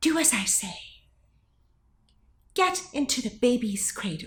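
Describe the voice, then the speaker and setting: A female-sounding put-on character voice, high in pitch, swings very widely in pitch at a moderate pace. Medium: read story.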